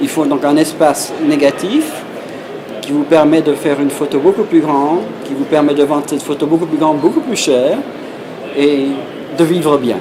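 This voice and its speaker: Over noticeable background noise and audible room echo, a man with a fairly high pitch and fairly even intonation speaks with long, frequent pauses. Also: moderate pace. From Belgium. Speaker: professional photographer. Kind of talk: interview. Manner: halting.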